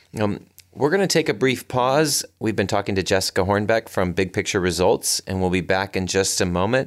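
Recorded very cleanly against a silent background, a man with an ordinary speaking voice talks at a moderate pace with ordinary pitch variation. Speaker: chamber of commerce president and podcast host. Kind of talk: interview.

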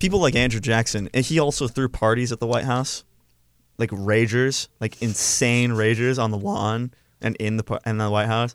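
A man with a normal speaking voice talks at a fairly quick pace and medium pitch, with ordinary pitch variation. The recording is very clean, with a silent background. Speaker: student radio co-host. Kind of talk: casual chat. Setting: studio.

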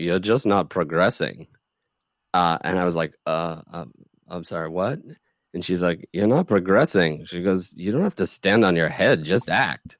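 A man with a very deep, low pitch speaks at a fairly slow pace with long, frequent pauses and ordinary pitch variation. The recording is very clean, with a silent background and a dry, close sound with no echo. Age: 40s. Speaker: theater artistic director. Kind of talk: casual interview chat.

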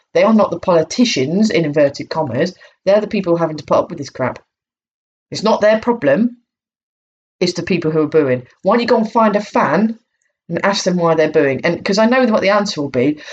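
This woman has a normal speaking voice pitched fairly low. She talks at a fairly quick pace with lively intonation. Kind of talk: angry rant. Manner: irate, sarcastic and profane, mocking the booers' 'free speech' claim.

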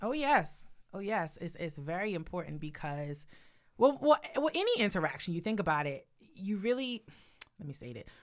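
At a moderate pace, a woman with a medium pitch speaks in an animated tone, her pitch swinging very widely and her loudness shifting a lot, with long, frequent pauses. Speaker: podcast co-host. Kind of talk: casual chat; scripted intro.

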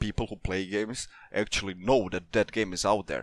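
This man has an ordinary speaking voice, pitched fairly low and delivered at a moderate pace. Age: 20s. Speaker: community manager. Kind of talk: casual interview.

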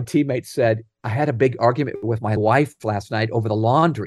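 An unremarkable speaking voice, moderately paced, with typical rise and fall in pitch. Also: man, quiet background. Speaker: author and leadership speaker. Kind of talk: interview.

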